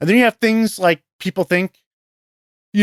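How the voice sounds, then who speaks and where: A man with a New York accent, on a very clean recording with a silent background and a dry, close sound with no echo. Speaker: professional investor. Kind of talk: interview conversation. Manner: hesitant, many fillers.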